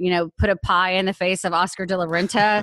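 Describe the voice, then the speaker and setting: Quiet in the background, a woman with an American accent uses a plain, everyday voice at a medium pitch, with fairly even intonation and a dry, close sound with no echo. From Austin, Texas and Europe. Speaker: activist and mother in custody battle. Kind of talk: interview.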